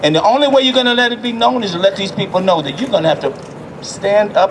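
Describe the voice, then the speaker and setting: Over noticeable background noise, a man with an American accent talks at a fairly quick pace and high pitch, his tone animated and his intonation lively. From US South. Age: 70s. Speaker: city councilman. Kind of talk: rally speech. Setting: outdoor rally.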